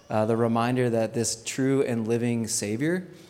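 Noticeable background noise sits under a man's medium-pitched voice. He speaks at a moderate pace with fairly even intonation. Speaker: pastor. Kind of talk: sermon.

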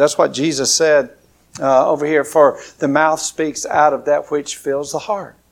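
A man's fairly high voice at a moderate pace. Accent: Alabama. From southern Alabama. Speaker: pastor. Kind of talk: sermon. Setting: church. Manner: informal, conversational, with hesitations.

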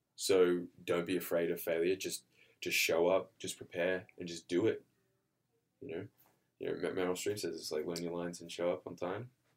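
A man with an Australian accent speaks at a moderate pace, leaving long, frequent pauses. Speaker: actor. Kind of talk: casual interview.

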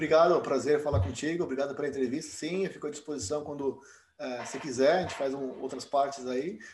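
Speaking very quickly, a man uses a fairly high pitch. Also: ordinary pitch variation. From Brazil, São Paulo. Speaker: dentist and program director. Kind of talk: interview.

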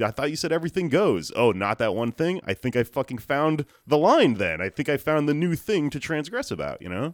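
Recorded very cleanly with a silent background and a dry, close sound with no echo, a man with a fairly high pitch and vocal fry talks at a fairly quick pace with hardly any pauses and very wide pitch swings. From Texas, Houston. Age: 30s. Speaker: comedian. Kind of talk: casual chat.

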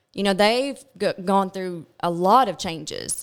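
A woman with a Kentucky accent talks at a fairly slow pace on a very clean recording with a silent background. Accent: Southern US (Kentucky). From Kentucky, Glasgow. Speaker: pharmaceutical sales rep. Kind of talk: casual chat. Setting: studio.

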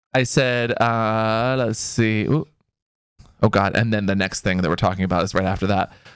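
With music in the background, a man with an American accent speaks at a moderate pace, his medium pitch showing ordinary variation. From US Pacific Northwest. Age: 30s. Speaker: podcast co-host. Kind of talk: casual chat. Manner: animated.

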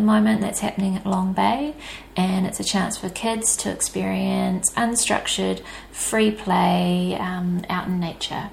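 There is noticeable background noise. A woman with a New Zealand accent speaks at a fairly slow pace. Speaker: podcast host. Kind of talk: podcast intro.

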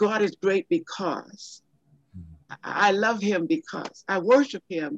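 This woman's voice sits at a medium pitch and swings very widely in pitch. She speaks very slowly, with long, frequent pauses. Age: 80s+. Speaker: Bible teacher and prayer facilitator. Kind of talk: conversational interview discussion with prayer.

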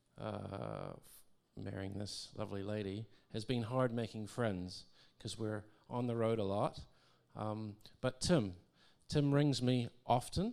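Speaking fairly slowly with long, frequent pauses, a man uses a fairly low pitch and ordinary pitch variation. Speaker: husband of speaker, audience participant. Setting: church with audience.

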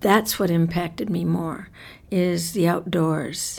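A woman, a plain, everyday voice, fairly low in pitch. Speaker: author and oral historian. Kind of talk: interview.

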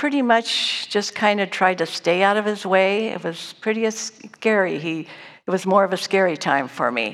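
A woman's ordinary speaking voice at medium pitch, fairly slow, with ordinary pitch variation. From Northern California. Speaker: church lay speaker. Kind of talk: personal testimony. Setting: church service stage.

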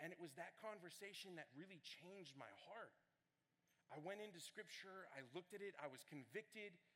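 Raising and projecting his voice, a man talks at a fairly quick pace with a high pitch, ordinary pitch variation, and an animated, bright, sharp tone. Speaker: student ministry director preaching. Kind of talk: sermon. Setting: church with congregation. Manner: loud.

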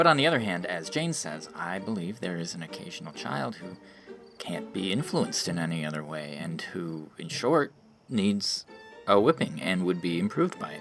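A man's put-on character voice, low-pitched yet fairly bright in tone, with vocal fry, big pitch swings, a moderate pace and faint music in the background

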